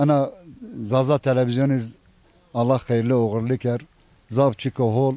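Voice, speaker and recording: A man with a medium-pitched, dark, mellow tone speaks fairly slowly, in a monotone, flat intonation at very even loudness. Long, frequent pauses break up his speech, and the sound is dry and close with no echo. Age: 60s. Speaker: villager, retired civil servant. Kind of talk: casual interview.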